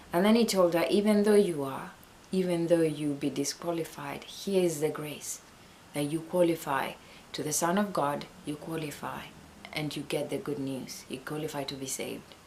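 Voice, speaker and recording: A woman's very deep, low voice at a moderate pace, with ordinary pitch variation and audible room echo. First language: not English. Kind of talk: Bible teaching talk. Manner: halting.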